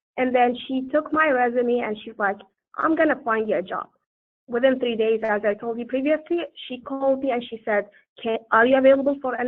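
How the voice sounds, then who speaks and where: Fairly quick and fairly even in intonation, a woman with a high pitch speaks in a non-native accent. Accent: foreign. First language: not English. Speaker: panelist. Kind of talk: panel discussion. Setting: webinar.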